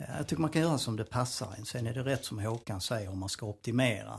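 A man talks at a very fast pace, somewhat breathy and fairly low in pitch. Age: 60s. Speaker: personal trainer. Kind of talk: casual chat.

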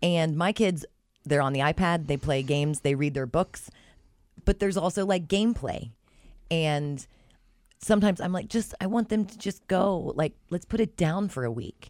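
A woman speaks at a moderate pace with a fairly low pitch. Her intonation is lively and her tone animated. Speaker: podcast host. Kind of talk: casual chat. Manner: animated, laughs often.

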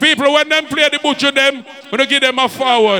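A man's raised, projected voice at an extremely high pitch, over noticeable background noise. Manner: aggressive, trash-talking, profanity-heavy; hyped, shouting over the crowd.

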